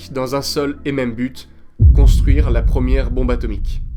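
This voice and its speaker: With music in the background and audible room echo, a man talks at a moderate pace with ordinary pitch variation. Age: 20s. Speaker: student history narrator. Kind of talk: scripted narration.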